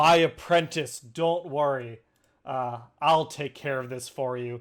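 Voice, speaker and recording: In a put-on character voice, a man booms at a medium pitch and a fairly slow pace. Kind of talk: reassuring, addressing an apprentice.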